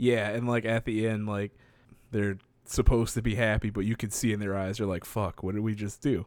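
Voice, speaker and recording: A man at fairly low pitch, fairly quick pace and monotone, flat intonation, in a very clean recording with a silent background. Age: 20s. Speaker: podcast co-host. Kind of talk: casual chat. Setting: at parents' home.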